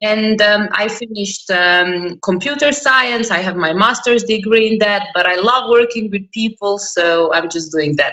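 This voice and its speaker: A woman with a bright, sharp tone speaks at a medium pitch and moderate pace, with ordinary pitch variation and hardly any pauses. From Croatia. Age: 20s. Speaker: interview guest. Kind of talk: interview. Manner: energetic.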